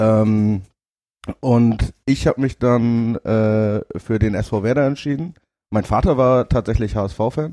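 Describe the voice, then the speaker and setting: A man talks at a very slow pace in a dark, mellow tone of medium pitch, his loudness very even and his pitch variation ordinary. The sound is dry and close, with no echo. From northern Germany (Zeven, Lower Saxony). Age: 30s. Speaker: football ultra. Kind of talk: casual chat. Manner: halting, many fillers.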